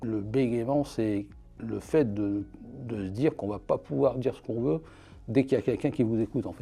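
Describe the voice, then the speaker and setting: A man's fairly low voice with lively intonation, over music in the background. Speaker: archivist. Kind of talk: interview answer.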